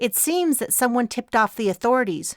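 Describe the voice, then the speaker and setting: A female-sounding, robotic put-on character voice with a fairly high pitch talks at a fairly quick pace on a very clean recording with a silent background. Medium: read story. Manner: formal, deliberate.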